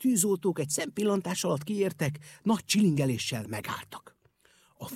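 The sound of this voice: Over near silence, the reading comes in an unforced voice with lively intonation.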